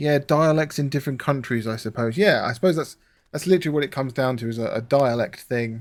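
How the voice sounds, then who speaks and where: The speaker, with a southern English accent, goes at a very fast pace with ordinary pitch variation on a very clean recording with a silent background. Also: man, fairly high pitch for a man. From southern England. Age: 30s. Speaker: gaming streamer. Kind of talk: casual live-stream chat while gaming.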